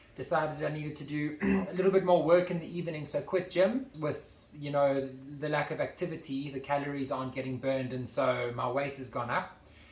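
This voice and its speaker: Over noticeable background noise and audible room echo, a man talks at a fairly quick pace with a fairly high pitch and fairly even intonation. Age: 20s. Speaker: YouTuber. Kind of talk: casual chat.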